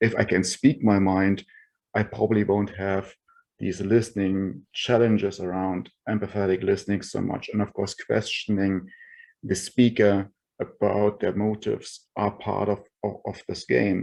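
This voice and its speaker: A man with a non-native accent speaks in a fairly low voice with fairly even intonation against a quiet background. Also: moderate pace. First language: not English. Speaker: roundtable participant, tech executive. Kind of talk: online roundtable discussion. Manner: halting, many fillers.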